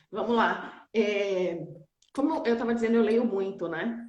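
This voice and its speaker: A woman's medium-pitched voice at a very slow pace, with ordinary pitch variation, long, frequent pauses and audible room echo. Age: 40s. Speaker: nurse and auditor, entrepreneur. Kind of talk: casual chat. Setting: online live stream.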